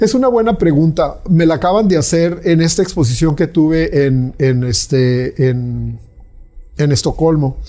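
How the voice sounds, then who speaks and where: The man's fairly high voice moves at a fairly slow pace, and his pitch varies in an ordinary way. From Mexico. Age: 60s. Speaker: visual artist. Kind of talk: interview conversation. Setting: artist's studio. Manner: halting with many fillers.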